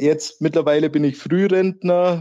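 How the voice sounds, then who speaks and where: A man with a Swabian accent speaks in a dark, mellow tone over a quiet background. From Nördlingen, Bavaria on the Württemberg border. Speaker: football fan, wheelchair user, early retiree. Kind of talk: casual chat.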